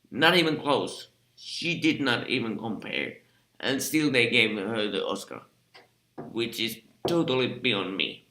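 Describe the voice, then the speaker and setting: A man with a Finnish accent, medium pitch and lively intonation, at a fairly slow pace with long, frequent pauses. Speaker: film critic. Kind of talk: casual vlog commentary. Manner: halting, many fillers; unscripted.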